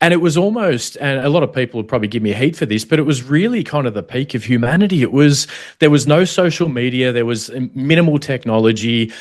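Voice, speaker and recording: Talking very fast with hardly any pauses, a man with an Australian accent sounds passionate, his intonation lively. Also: medium pitch for a man, quiet background. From Australia (Melbourne, then Sydney). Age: 40s. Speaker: former federal police protection officer. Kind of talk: casual chat. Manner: dynamic and passionate.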